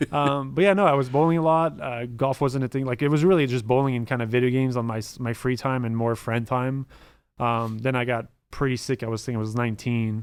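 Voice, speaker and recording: With a French Canadian accent, a man speaks at a very fast pace in a medium pitch with ordinary pitch variation, in a very clean recording with a silent background. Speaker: former esports pro player. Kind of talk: podcast interview.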